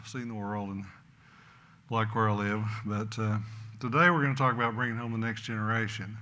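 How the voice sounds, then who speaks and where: Fairly quick speech in an American accent with audible room echo. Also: man. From Oklahoma. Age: 70s. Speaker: rancher. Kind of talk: conference talk.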